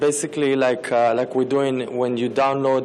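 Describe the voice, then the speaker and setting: A man's medium-pitched voice carries audible room echo, with noticeable background noise around it. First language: not English. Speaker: startup founder pitching. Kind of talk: pitch Q&A answer. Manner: halting, many fillers.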